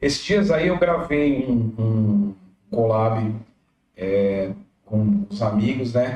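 In a dark, mellow tone, a man of medium pitch speaks at a very slow pace with ordinary pitch variation, very even loudness, and long, frequent pauses. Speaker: musician. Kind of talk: casual chat.

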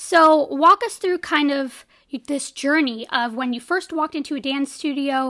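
In a very clean recording with a silent background, a woman with a high pitch speaks fairly slowly in a raised, projected voice, her tone bright and sharp and her pitch varying in an ordinary way. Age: 20s. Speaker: podcast co-host. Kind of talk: casual interview.

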